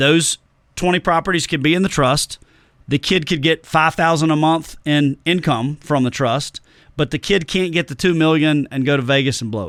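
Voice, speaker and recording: In a very clean recording with a silent background and a dry, close sound with no echo, a man with a Tennessee accent speaks with ordinary pitch variation. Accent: Southern drawl, Tennessee. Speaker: financial planner. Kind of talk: podcast interview. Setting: studio.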